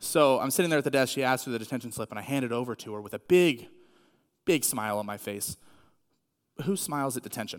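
In a very clean recording with a silent background, a man with a medium pitch talks very fast, with long, frequent pauses and big swings in loudness. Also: ordinary pitch variation. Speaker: youth pastor. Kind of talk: sermon. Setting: church with audience.

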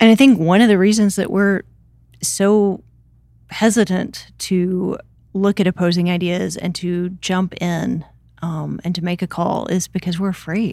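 In a very clean recording with a silent background, a voice with an American accent and a dark, mellow tone speaks at a fairly slow pace with fairly even intonation. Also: woman, medium pitch for a woman. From US South, Memphis, Tennessee. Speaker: church resource coordinator. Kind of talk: casual chat.

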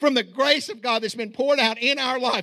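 A raised, projected voice with a bright, sharp tone and an American accent goes at a very fast pace with ordinary pitch variation. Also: man. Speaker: pastor. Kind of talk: sermon. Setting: church. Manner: halting, with frequent fillers.

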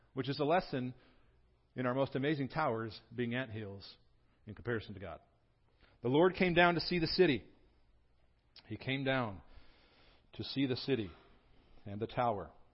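Somewhat breathy, a man at a medium pitch talks with lively intonation and long, frequent pauses. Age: 40s. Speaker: pastor. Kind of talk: sermon. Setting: church. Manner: animated.

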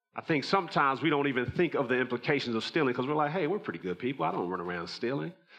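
Over noticeable background noise, a man at a medium pitch talks at a very fast pace with hardly any pauses. His pitch swings very widely. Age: 40s. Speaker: pastor. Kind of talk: sermon. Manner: animated.

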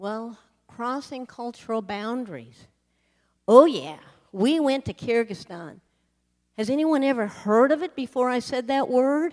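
With an American accent, a woman speaks in a high pitch with lively intonation. She leaves long, frequent pauses. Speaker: missionary sharing testimony. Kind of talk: sermon testimony. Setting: church.

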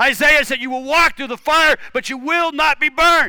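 A man's raised, projected voice, bright and sharp in tone, at an extremely high pitch. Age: 50s. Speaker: pastor. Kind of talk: sermon.

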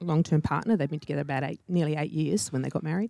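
This woman has a very deep, low pitch and a dark, mellow tone. She speaks with an Australian accent. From Sydney northern beaches. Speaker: HR director. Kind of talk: interview. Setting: church.

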